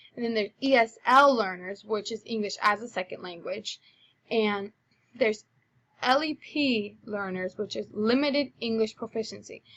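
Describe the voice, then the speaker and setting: Speaking at a moderate pace, a woman with a Spanish accent has a fairly high pitch. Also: ordinary pitch variation. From Spanish-speaking third world country. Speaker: college student. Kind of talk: presentation of a research paper. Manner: casual, with fillers.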